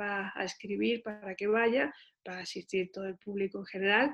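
A woman speaks in an ordinary speaking voice at a medium pitch, with fairly even intonation and a moderate pace. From Seville, southern Spain. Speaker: visual artist and university lecturer. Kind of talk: interview.

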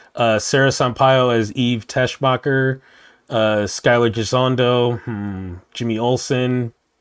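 Recorded very cleanly against a silent background, a man with a medium pitch speaks at a very slow pace with fairly even intonation. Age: 40s. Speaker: podcast co-host. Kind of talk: casual chat.

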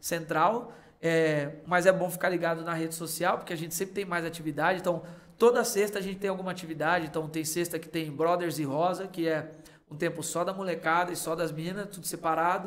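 With audible room echo, a man with a high pitch for a man speaks at a fairly quick pace and with fairly even intonation. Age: 30s. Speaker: youth pastor. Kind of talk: casual chat.

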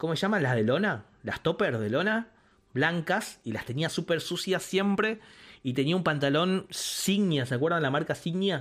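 Here a man talks in a high voice for a man. His pace is moderate and his intonation lively. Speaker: podcast co-host. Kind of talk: casual chat. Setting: live stream.

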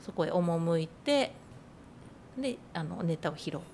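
A woman's fairly low voice, somewhat breathy, with a dark, mellow tone. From Nagano, Iida (southern Nagano). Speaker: freelance designer and writer. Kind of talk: casual interview.

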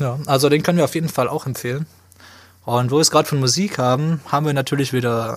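The speaker is a man with a medium pitch. Ordinary pitch variation marks his delivery. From Swabia, southwestern Germany. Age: 20s. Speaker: podcast co-host, media student. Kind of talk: casual chat.

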